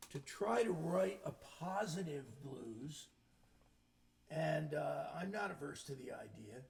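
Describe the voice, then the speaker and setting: A man speaks at a very slow pace in a fairly high pitch, with vocal fry and lively intonation. There is audible room echo. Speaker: singer-songwriter. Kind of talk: casual chat between songs. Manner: hesitant, filler-heavy.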